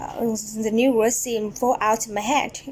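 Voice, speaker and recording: The speaker has a Vietnamese accent and talks fairly slowly. Noticeable background noise runs under the voice. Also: woman. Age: 20s. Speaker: English language student. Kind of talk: prepared speech presentation. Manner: halting.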